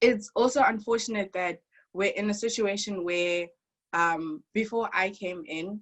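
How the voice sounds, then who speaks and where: A woman with an African accent talks at medium pitch and a moderate pace, with ordinary pitch variation. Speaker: international university student. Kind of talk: testimony. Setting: video call. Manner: animated.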